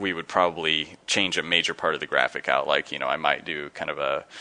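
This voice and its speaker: A man mumbles at a fairly quick pace in a very deep, low voice with ordinary pitch variation. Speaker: game artist. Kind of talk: live stream commentary while painting. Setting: live stream from home studio. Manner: mumbling; halting, many fillers.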